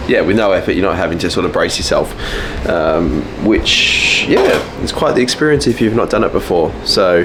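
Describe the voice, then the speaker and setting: Someone with an Australian accent speaks at a moderate pace with very even loudness, amid noticeable background noise and audible room echo. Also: man. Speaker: vlogger, natural bodybuilder. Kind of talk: casual vlog.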